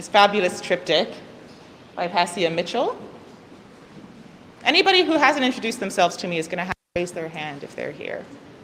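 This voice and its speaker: A woman talks at a fairly quick pace with lively intonation and big swings in loudness. Long, frequent pauses break her speech, and noticeable background noise is present. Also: medium pitch for a woman. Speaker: gallery curator. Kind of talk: gallery talk. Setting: gallery event, hybrid in-person and online. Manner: fast.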